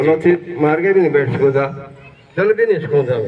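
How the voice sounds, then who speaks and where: Noticeable background noise is present. Through it, a man talks in a fairly high voice. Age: 70s. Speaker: yoga practitioner. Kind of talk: testimony.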